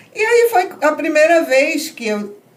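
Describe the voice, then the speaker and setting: Noticeable background noise and audible room echo accompany a woman speaking with lively intonation. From northern Brazil, Belém do Pará. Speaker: tourism entrepreneur. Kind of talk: podcast interview.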